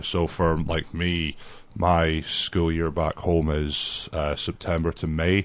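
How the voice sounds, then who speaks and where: A man's very deep, low voice in a Scottish accent, monotone with flat intonation, against a quiet background. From Scotland, near Dundee. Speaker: youth soccer coach. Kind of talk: radio interview. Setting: radio studio.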